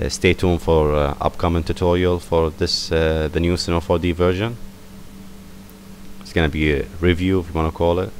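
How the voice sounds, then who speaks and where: Over noticeable background noise, a man speaks in a very deep, low pitch with fairly even intonation. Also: fairly quick pace. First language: not English. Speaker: software tutorial maker. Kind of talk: tutorial. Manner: casual, hesitant with fillers.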